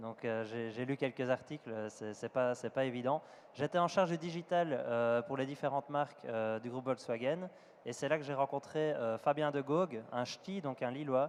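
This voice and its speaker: Talking at a moderate pace with ordinary pitch variation, a man with a Belgian accent holds a medium pitch. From Belgium. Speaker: startup executive. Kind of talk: panel discussion.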